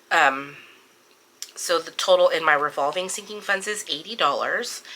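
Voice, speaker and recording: A woman speaks at a moderate pace with medium pitch and ordinary pitch variation. There is noticeable background noise. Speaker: budgeting vlogger. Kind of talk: budget walkthrough tutorial. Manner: casual, many filler words.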